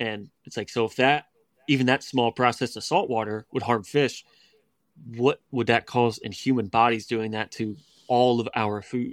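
In a normal speaking voice with an American accent, the speaker keeps a moderate pace and fairly even intonation, the sound dry and close with no echo on a very clean recording with a silent background. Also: man, medium pitch for a man. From West Virginia. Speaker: raw milk advocate. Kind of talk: interview.

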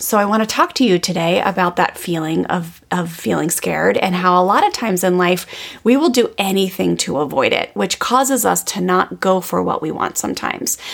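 Speaking at a moderate pace with few pauses, a woman uses lively intonation at a fairly low pitch, with vocal fry.

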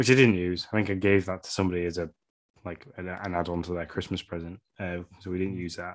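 A man with an English accent talks at a very fast pace in a very deep, low voice with fairly even intonation. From England. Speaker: podcast co-host. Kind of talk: casual chat.

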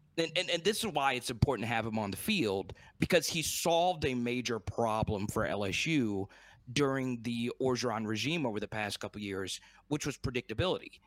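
With lively intonation and a medium pitch, a man talks at a moderate pace in an ordinary speaking voice, recorded very cleanly against a silent background. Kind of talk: sports analysis chat, breaking down the game and schedule. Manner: conversational, measured, joking and teasing.

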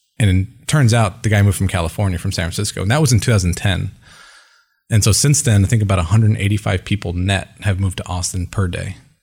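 A man speaks at a fairly low pitch and a fairly quick pace, with ordinary pitch variation and a somewhat breathy sound. The recording is very clean, with a silent background. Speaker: sales executive. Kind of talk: interview. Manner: soft-spoken; measured.

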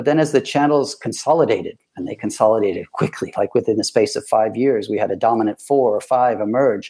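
Speaking with a Midwestern accent, a man has a dark, mellow tone, a fairly quick pace and fairly even intonation. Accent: American Midwest. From US Midwest, Ann Arbor, Michigan. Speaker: vacation rental company executive. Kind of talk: interview.

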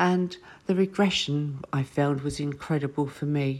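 A woman speaks with fairly even intonation. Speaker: retreat owner. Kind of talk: recorded interview message.

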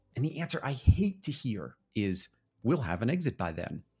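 Over music in the background, a man speaks at a moderate pace and medium pitch with very wide pitch swings. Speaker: podcast announcer. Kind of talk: scripted narration.

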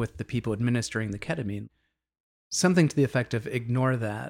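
In a normal speaking voice, a man talks at a fairly quick pace with an American accent and ordinary pitch variation, the sound dry and close with no echo on a very clean recording with a silent background. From US Northeast, Boston area. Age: 50s. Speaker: DJ and psychedelic facilitator. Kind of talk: interview conversation.

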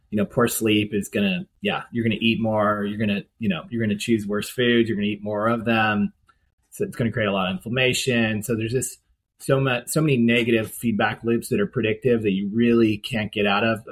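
A plain, everyday voice from a man, medium in pitch, fairly quick in pace and fairly even in intonation. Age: 50s. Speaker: sobriety coach. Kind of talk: podcast interview.

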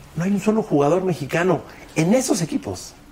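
Noticeable background noise runs under a man's high voice. He speaks at a fairly quick pace. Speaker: sports commentator. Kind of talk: casual chat. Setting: studio.

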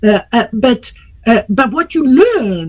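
The man speaks with lively intonation. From Iran. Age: 50s. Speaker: entrepreneur. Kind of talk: interview. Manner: hesitant with fillers.

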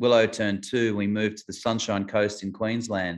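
The speaker has an Australian accent and a monotone, flat intonation against a quiet background. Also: man. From Adelaide, South Australia. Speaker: singer-songwriter. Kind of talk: casual interview chat. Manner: halting.

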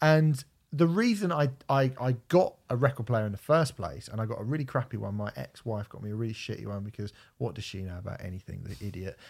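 In a very clean recording with a silent background, a man with a southern English accent talks very fast, somewhat breathy, with lively intonation. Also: medium pitch for a man, big swings in loudness. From southern England, Portsmouth. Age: 30s. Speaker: podcast host. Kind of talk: casual chat.

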